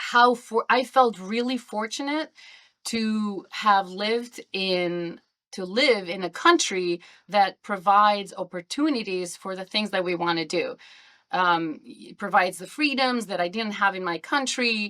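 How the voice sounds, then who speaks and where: In a very clean recording with a silent background, a woman with an Albanian accent talks at a fairly slow pace in a bright, sharp tone, her pitch medium and her intonation lively. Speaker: podcast guest. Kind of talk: interview.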